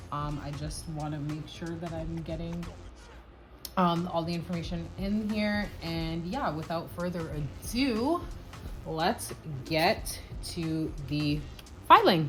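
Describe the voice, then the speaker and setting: With music in the background and audible room echo, a woman speaks at a very slow pace, with big swings in loudness and long, frequent pauses. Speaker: nail art vlogger. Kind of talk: tutorial. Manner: casual.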